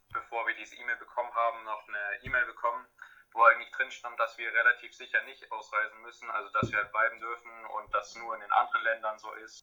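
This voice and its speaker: A man talking at a very fast pace. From Germany. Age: young. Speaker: returned volunteer. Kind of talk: online interview. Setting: video call.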